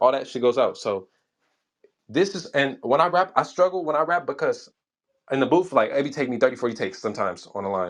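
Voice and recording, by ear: Mumbling at a fairly quick pace, a man gets his words out. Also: medium pitch for a man, lively intonation.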